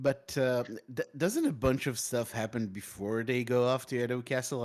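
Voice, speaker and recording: The recording is very clean with a silent background. A man with a non-native accent speaks at a medium pitch and a moderate pace. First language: not English. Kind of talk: casual chat. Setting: live stream. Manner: halting.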